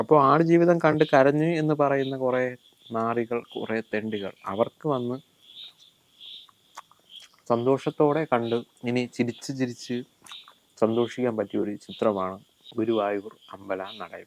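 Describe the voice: This man speaks at a fairly slow pace, his medium pitch showing ordinary variation.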